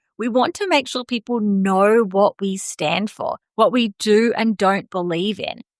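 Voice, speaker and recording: A woman with an Australian accent, fairly high in pitch with ordinary pitch variation, at a fairly slow pace, in a dry, close sound with no echo. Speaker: podcast host, marketing coach. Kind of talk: podcast monologue, business advice. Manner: casual, conversational.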